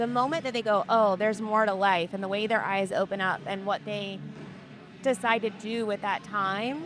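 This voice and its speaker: A woman speaks at a fairly slow pace with a medium pitch and ordinary pitch variation, music playing in the background. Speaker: street interviewer, former career coach. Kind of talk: casual interview questions.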